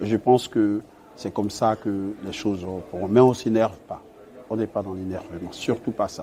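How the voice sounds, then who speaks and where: Speaking at a moderate pace with a fairly low pitch, a man keeps a monotone, flat intonation while his loudness swings widely. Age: 30s. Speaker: naval engineer. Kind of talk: interview.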